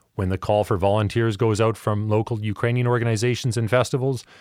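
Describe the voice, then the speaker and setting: The recording is very clean, with a silent background. A man talks in an unremarkable speaking voice at a fairly quick pace, with fairly even intonation and medium pitch. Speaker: podcast host. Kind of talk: interview. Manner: formal.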